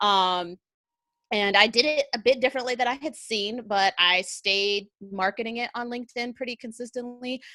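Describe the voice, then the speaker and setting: The voice is loud and energetic, with a bright, sharp tone. The recording is very clean and dry, close with no echo, over a silent background. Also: woman, ordinary pitch variation, moderate pace. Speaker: content marketer, army veteran. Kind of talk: interview on livestream show.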